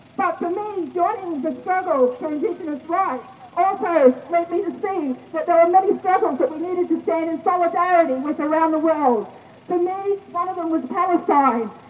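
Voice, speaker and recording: A woman's extremely high-pitched voice over noticeable background noise. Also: ordinary pitch variation, moderate pace. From North Queensland, Australia. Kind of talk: rally speech.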